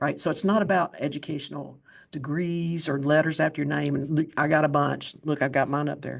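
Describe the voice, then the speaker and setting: A woman's very deep, low voice in an Appalachian accent, with vocal fry and fairly even intonation, at a fairly quick pace against a quiet background. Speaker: podcast host. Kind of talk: interview conversation.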